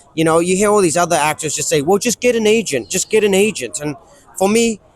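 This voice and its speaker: Very fast speech with ordinary pitch variation, a dry, close sound with no echo, and noticeable background noise. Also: man. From New Zealand. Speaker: actor. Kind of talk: interview.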